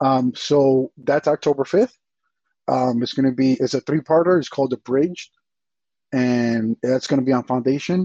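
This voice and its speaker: A man talks in an ordinary speaking voice at a medium pitch and moderate pace. His loudness stays very even, and his intonation is fairly even. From US, Dominican American. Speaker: abstract digital artist. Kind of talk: casual chat.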